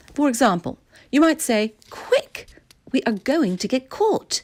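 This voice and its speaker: A woman with a high pitch speaks in a Received Pronunciation accent. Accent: British Received Pronunciation. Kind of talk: educational vocabulary explanation.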